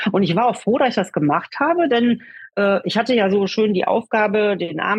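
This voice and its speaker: This woman has a medium-pitched, somewhat breathy voice. Her intonation is lively. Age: 50s. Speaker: self-help group leader. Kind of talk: interview. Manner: hesitant, many fillers.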